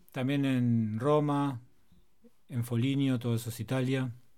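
A man's dark, mellow tone at medium pitch, with fairly even intonation. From Argentina. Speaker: DJ. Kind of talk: casual interview and music presenting.

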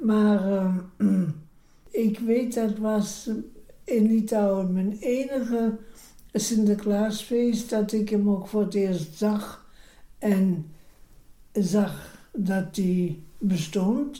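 In a room with audible echo, a woman with a dark, mellow tone and a somewhat breathy voice speaks at a very slow pace, with fairly even intonation, very even loudness and long, frequent pauses. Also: medium pitch for a woman. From Lithuania. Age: 90s. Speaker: retired court interpreter. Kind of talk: life story interview. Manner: slightly breathless.

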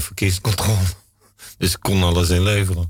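A man's very deep, low, somewhat breathy voice in a flat monotone, on a very clean recording with a silent background. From Brabant, Netherlands (born in Limburg). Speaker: guest telling life story. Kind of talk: radio interview. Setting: studio.

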